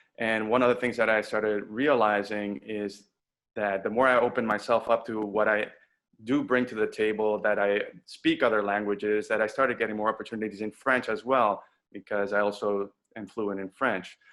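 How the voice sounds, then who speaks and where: A man's fairly low voice with a slight Spanish accent, in a monotone, flat intonation at a fairly quick pace, over a quiet background. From Dominican Republic. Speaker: voice actor. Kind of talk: panel webinar talk. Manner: halting, repeats words.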